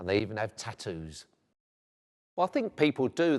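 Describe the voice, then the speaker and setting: With a South London accent, a man talks at a fairly quick pace against a quiet background. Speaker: vicar. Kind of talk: interview. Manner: hesitant, with frequent fillers.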